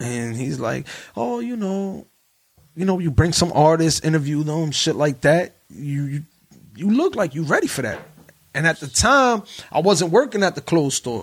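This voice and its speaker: A man with a plain, everyday voice, fairly high in pitch, at a moderate pace with lively intonation. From New Jersey. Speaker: podcaster. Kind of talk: casual chat.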